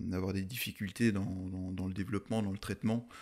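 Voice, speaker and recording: His delivery comes fairly quickly. The speaker is male, his intonation fairly even throughout. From France, Alsace (Munster valley). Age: 30s. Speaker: mountain photographer. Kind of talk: podcast interview. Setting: in person recording in Alsace. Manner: hesitant, many fillers.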